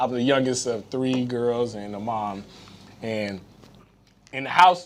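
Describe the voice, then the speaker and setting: A man with a Haitian accent speaks at a medium pitch and a fairly slow pace, his tone animated, with big swings in loudness. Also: ordinary pitch variation. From US, Haitian immigrant family. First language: Haitian Creole. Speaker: retired football player. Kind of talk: casual chat.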